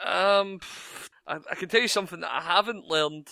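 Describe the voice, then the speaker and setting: A man speaks at a fairly quick pace with a Scottish accent, his tone bright and sharp. The recording is very clean with a silent background, dry and close with no echo. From Scotland. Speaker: podcast co-host. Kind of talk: casual chat.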